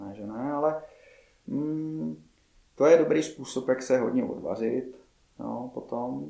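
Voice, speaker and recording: A man with a dark, mellow tone and a medium pitch speaks at a fairly slow pace, with lively intonation, big swings in loudness and long, frequent pauses. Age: 30s. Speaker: martial arts coach. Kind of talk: interview chat.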